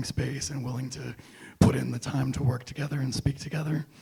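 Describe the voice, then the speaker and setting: A man talks in a monotone, flat intonation at medium pitch. Vocal fry runs through his voice. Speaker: podcast guest, libertarianism enthusiast. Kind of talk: casual chat. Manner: hesitant, many fillers.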